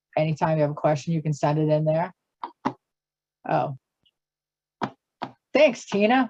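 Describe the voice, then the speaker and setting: A woman's voice carries a dark, mellow tone. The sound is dry and close, with no echo. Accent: Boston. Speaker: government finance presenter. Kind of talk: webinar Q and A. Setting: video call webinar. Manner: a bit halting.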